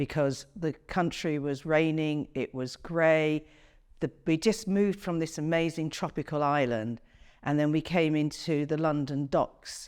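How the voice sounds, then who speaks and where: A woman with an English Midlands accent has a very deep, low pitch and ordinary pitch variation. She speaks at a fairly slow pace on a very clean recording with a silent background. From England, Coventry. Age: 60s. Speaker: interviewee. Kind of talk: interview.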